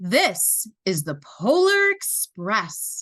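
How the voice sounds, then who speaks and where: A woman does a put-on character voice at a fairly high pitch. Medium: read story. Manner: brisk, matter-of-fact.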